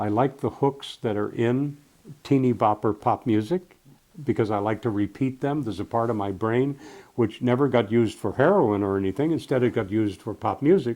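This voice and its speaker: Dark, mellow tone from a man at medium pitch, fairly quick pace, ordinary pitch variation. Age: 80s+. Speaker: retired radio program director. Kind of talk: interview.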